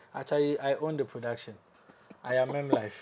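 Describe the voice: With fairly even intonation, a man speaks at a moderate pace, medium in pitch with a slightly mellow tone.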